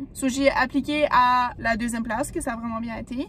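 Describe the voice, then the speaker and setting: A woman talks at a high pitch over noticeable background noise. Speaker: vlogger. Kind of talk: vlog monologue. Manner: fast.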